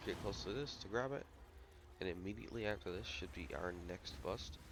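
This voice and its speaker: Vocal fry and lively intonation in a man's very deep, low voice, delivered at a fairly quick pace. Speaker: gaming YouTuber. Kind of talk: gameplay commentary. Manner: casual, fast-paced.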